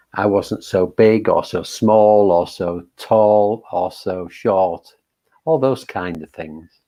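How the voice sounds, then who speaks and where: A man's fairly low-pitched voice carries fairly even intonation. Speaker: meditation teacher. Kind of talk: dharma talk before guided meditation. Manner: hesitant, many fillers; calm, gentle.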